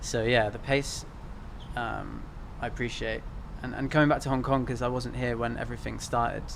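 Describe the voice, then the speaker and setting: A man with a British accent speaks with long, frequent pauses amid audible room echo. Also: fairly quick pace. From UK. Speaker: filmmaker and photographer. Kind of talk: interview.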